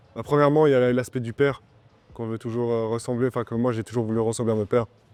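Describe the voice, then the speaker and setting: With a flat, monotone delivery at a medium pitch, the man races along at a very fast pace. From Switzerland, Romont (Fribourg). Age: 20s. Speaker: MMA fighter. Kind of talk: interview. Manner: halting, many fillers.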